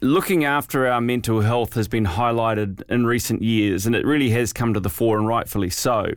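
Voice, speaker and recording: A man speaks in a plain, everyday voice at a medium pitch and a moderate pace, with hardly any pauses and very even loudness, on a very clean recording with a silent background. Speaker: podcast host. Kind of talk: interview, scripted intro and outro.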